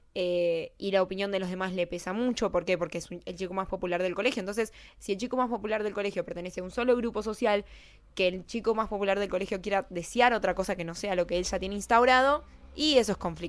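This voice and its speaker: She speaks at a very fast pace with a Rioplatense accent. Her pitch is medium for a woman, with ordinary variation. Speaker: YouTuber, film character analyst. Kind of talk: casual video essay monologue. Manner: hesitant, self-correcting.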